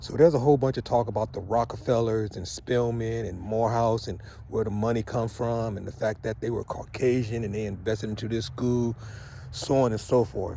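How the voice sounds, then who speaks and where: A man's dark, mellow, somewhat breathy voice at a medium pitch, fairly quick in pace, with fairly even intonation. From US West Coast, Southeast San Diego. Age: 60s. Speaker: vlogger, Morehouse alumnus. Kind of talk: casual monologue vlog. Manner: conversational, emphatic.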